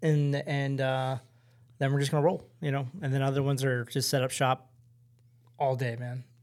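In a plain, everyday voice, a man speaks at a fairly high pitch. His pace is moderate and his intonation fairly even. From Baltimore, Maryland. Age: 40s. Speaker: bartender. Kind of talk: casual chat.

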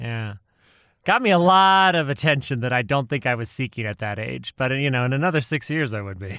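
A man with a medium-pitched voice talks at a fairly quick pace, his animated delivery carrying lively intonation and a bright, sharp tone. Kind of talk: casual comedic banter between friends. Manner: joking, animated, sarcastic.

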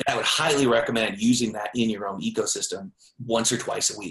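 A man is talking here. He speaks at a fairly quick pace. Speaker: author marketing founder. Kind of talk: casual interview.

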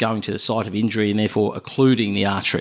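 Speaking very fast with an Australian accent, a man keeps his voice at a medium pitch. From Melbourne, Australia. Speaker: cardiologist. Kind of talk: interview. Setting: doctor's office. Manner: halting, repeats words.

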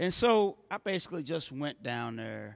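This man has a plain, everyday voice with an American accent and lively intonation. He speaks at a fairly slow pace against a quiet background. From US Midwest, North Saint Louis. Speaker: pastor. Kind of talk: sermon. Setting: church.

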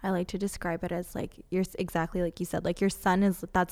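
Over a silent background in a very clean recording, a woman with an unremarkable speaking voice talks at a fairly quick pace. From Canada, Toronto. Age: 20s. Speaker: healer and teacher. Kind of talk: casual chat.

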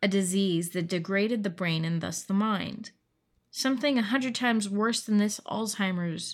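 A quiet setting behind a plain read-aloud passage, its pitch rising and falling in an ordinary way

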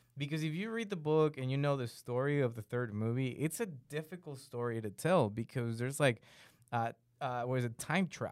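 The man's voice sits at a medium pitch with ordinary pitch variation. He talks at a fairly quick pace. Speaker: podcast co-host. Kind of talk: casual chat. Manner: animated.

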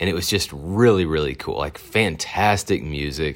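A man talks with a Southern US accent. His pitch variation is ordinary. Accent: Southern American. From Arkansas, US South. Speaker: podcaster. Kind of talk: personal storytelling monologue. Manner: casual, with many fillers.

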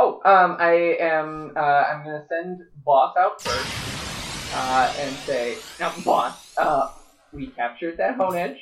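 Music plays in the background as the speech moves at a very slow pace with long, frequent pauses. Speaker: player in tabletop RPG. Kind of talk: casual tabletop game chat.

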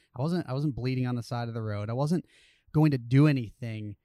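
A man with an American accent speaks in a dark, mellow tone, with ordinary pitch variation. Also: very clean recording, silent background. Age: 30s. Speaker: professional cyclist and triathlete. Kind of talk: casual interview chat. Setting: outdoors.

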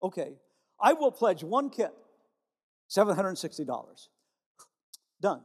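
A man talks in an animated tone at a high pitch and a moderate pace. His pitch swings very widely, broken by long, frequent pauses. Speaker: retired pastor. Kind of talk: sermon. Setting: church with congregation. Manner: animated, preacherly.

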